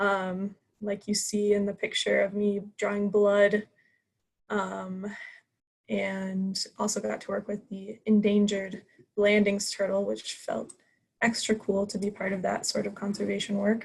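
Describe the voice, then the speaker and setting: A woman with an American accent speaks at medium pitch and a fairly slow pace. Her voice is somewhat breathy, with monotone, flat intonation. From US Midwest, Columbia, Missouri. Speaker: student club officer. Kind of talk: club meeting self-introduction.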